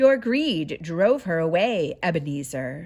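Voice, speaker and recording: Using a put-on character voice, a woman speaks at a fairly low pitch and a fairly slow pace. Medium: read story.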